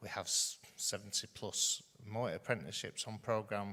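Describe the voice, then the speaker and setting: Loud and monotone, a man speaks at a fairly low pitch with flat intonation and a bright, sharp tone. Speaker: further education college leader. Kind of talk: conference panel talk. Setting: stage with audience. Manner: halting, many fillers.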